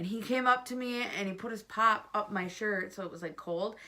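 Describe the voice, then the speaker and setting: A woman talks at a fairly quick pace with a fairly high pitch and lively intonation. Noticeable background noise runs underneath. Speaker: vlogger. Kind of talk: casual chat. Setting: at home. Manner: loud.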